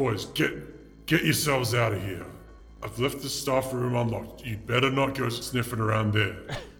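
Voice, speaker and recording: Over clear music in the background, a man does a put-on character voice at a medium pitch and a moderate pace. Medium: actual play. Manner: gruff, curt, bossy.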